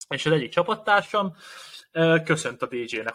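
A man's bright, sharp voice with lively intonation at a moderate pace. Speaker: podcast co-host and athlete. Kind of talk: casual chat. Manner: halting.

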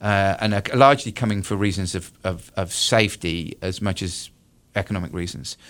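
A man with a British accent talks with ordinary pitch variation in a very clean recording with a silent background. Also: fairly low pitch for a man, moderate pace. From United Kingdom. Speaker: political science professor. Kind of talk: radio interview. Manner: halting, many fillers and repetitions.

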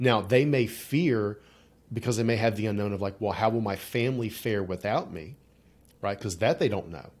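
In a normal speaking voice with an American accent, a man speaks at a moderate pace with ordinary pitch variation, on a very clean recording with a silent background. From rural Appalachia, West Virginia. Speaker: psychologist and executive coach. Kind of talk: casual interview. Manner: casual, conversational.

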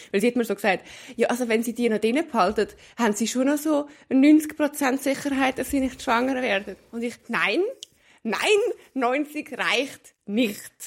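A woman's high-pitched voice in a Swiss accent, fairly slow in pace, with ordinary pitch variation. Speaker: podcast co-host. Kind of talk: casual chat. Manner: calm.

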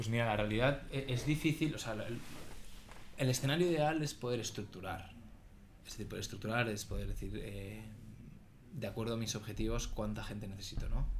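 A man's medium-pitched voice with vocal fry and ordinary pitch variation, at a fairly quick pace with long, frequent pauses, in audible room echo. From Spain, Barcelona. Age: 30s. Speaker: sales executive. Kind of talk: casual chat.

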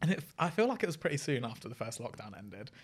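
With a British accent, a man at medium pitch talks at a very fast pace with lively intonation. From UK. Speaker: friend and former fan. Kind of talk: casual chat.

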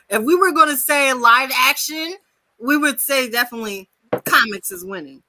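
A woman speaks in a raised, projected voice at a high pitch and a moderate pace. Her tone is animated and her intonation lively. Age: 30s. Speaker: podcast co-host. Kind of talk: casual chat.

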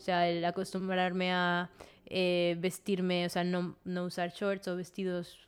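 A woman is speaking. Her pitch sits in the medium range. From Venezuela. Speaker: graphic designer. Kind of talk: casual chat.

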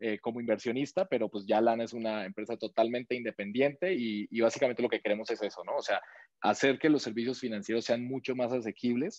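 A man talks at a very fast pace at a medium pitch, with ordinary pitch variation. The sound is dry and close, with no echo. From Colombia. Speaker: startup co-founder. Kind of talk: interview. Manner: halting, many repetitions and fillers.

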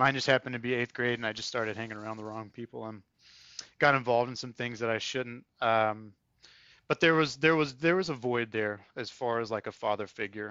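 At a fairly quick pace, a man with an American accent speaks at a medium pitch with ordinary pitch variation. His loudness swings widely. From North Carolina, Triad area. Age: 30s. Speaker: military academy alumnus. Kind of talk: interview. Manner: halting.

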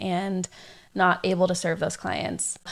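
A woman with a Californian accent speaks at a medium pitch. The recording is very clean, with a silent background. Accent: Californian American English. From San Diego, California. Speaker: podcast host and wedding photographer. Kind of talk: casual solo podcast talk.

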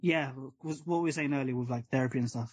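A man speaks at a medium pitch, somewhat breathy. The background is quiet. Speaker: podcast host. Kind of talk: casual chat. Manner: animated, laughs often.

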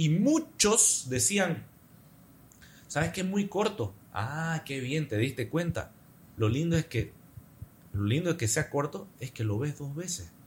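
Speaking at a very slow pace with long, frequent pauses, a man uses a fairly high pitch and very wide pitch swings. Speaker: advertising professional and content creator. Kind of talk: casual interview chat.

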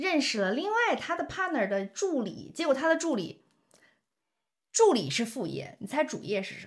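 Her high voice swings very widely in pitch and greatly in loudness as this woman speaks in an animated tone. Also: moderate pace. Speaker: podcast host. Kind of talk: casual chat.

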